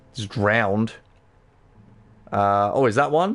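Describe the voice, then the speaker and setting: Music plays in the background as a man talks. His pace is fairly slow and his intonation lively. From London, England. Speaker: gaming livestreamer. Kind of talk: live gameplay commentary. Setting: livestream. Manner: animated.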